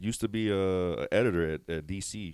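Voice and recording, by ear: A man's low-pitched voice at a moderate pace, clear, smooth and slightly mellow in tone, with ordinary pitch variation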